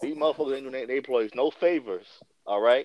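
With a New York accent, a man talks fairly quickly at a medium pitch, his intonation lively. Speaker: guest co-host. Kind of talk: casual chat.

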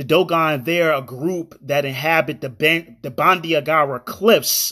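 A man with a plain, everyday voice, fairly high in pitch, ordinary pitch variation, moderate pace, on a very clean recording with a silent background. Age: 30s. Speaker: podcast host. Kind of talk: solo commentary podcast.

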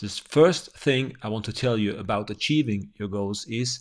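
A man speaks at a medium pitch and a fairly slow pace. The background is quiet. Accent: German. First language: German. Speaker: podcaster and business owner. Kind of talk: motivational podcast monologue.

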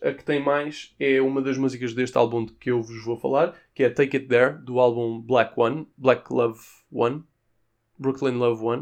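A man with a European Portuguese accent speaks at a medium pitch and moderate pace. His intonation is fairly even, and the background is quiet. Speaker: podcaster. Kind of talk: casual music review monologue. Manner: informal, conversational.

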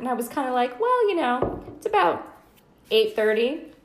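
A woman talks at a moderate speed, her voice carrying audible room echo amid noticeable background noise. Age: 30s. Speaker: podcast host. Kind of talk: casual chat.

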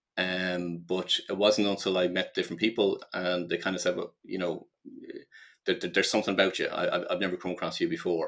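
A man with a Dublin accent at a fairly quick pace. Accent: Irish (Dublin). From Ireland. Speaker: life purpose coach and business consultant. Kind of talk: podcast interview. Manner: halting, many repetitions and fillers.

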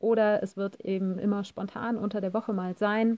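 The tone is dark and mellow, and the intonation is monotone and flat at a moderate pace. The sound is dry and close, with no echo. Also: woman. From Germany, Cologne. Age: 40s. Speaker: podcaster and life coach. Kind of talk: casual voice message monologue.

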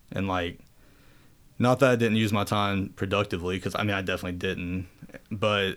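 Very deep and low, a man's voice moves at a moderate pace with fairly even intonation. The recording is very clean with a silent background. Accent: American. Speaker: amputee powerlifter. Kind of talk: casual interview chat. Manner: monotone, calm.

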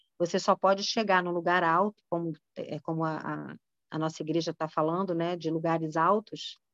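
Monotone and flat, a woman speaks at a fairly low pitch and a moderate pace. The sound is dry and close, with no echo. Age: 40s. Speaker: women's ministry speaker. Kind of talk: sermon. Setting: video call.

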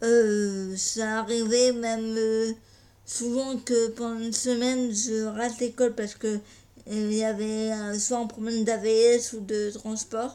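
This woman's voice sits fairly high, with a dark, mellow tone. She speaks very slowly in a monotone, flat intonation. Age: 20s. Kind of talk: personal testimony. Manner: halting, many hesitations.

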